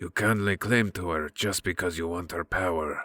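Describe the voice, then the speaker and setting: Using a put-on character voice, a man speaks quietly at a moderate pace, his voice raspy and very deep. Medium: read story. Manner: calm, amused, quietly menacing.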